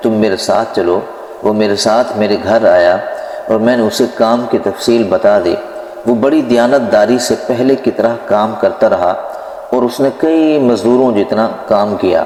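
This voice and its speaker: Lively intonation rides on very even loudness, with noticeable background noise behind it. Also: man, medium pitch for a man. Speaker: Islamic preacher narrating a religious story. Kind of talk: Islamic story narration (bayan).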